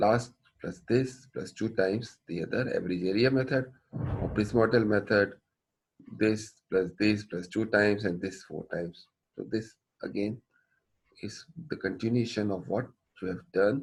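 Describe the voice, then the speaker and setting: A man with a fairly low voice speaks at a moderate pace. His intonation is fairly even, broken by long, frequent pauses. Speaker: engineering professor. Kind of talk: lecture.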